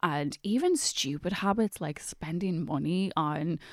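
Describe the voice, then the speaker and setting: In a very clean recording with a silent background, a woman speaks at a fairly low pitch in an Irish accent, her pitch varying in an ordinary way. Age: 30s. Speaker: writer and journalist. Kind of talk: casual chat.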